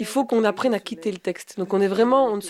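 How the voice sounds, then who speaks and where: A woman of medium pitch talks at a very fast pace with ordinary pitch variation. The sound is dry and close with no echo, with noticeable background noise. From Rochefort region, Belgium. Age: 30s. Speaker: professional storyteller. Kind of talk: interview answer. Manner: hesitant, conversational.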